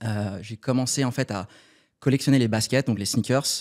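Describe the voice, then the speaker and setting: A man's moderate-paced, plain, everyday voice on a very clean recording with a silent background. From Paris suburbs, France. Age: 30s. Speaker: startup cofounder. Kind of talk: podcast interview. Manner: casual, many fillers.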